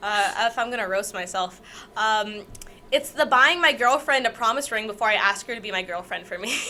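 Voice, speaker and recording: Speaking at a fairly quick pace with a Canadian accent, a woman uses a plain, everyday voice pitched fairly high, with ordinary pitch variation. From Canada. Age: 19. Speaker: podcast co-host, dance student. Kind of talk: casual chat.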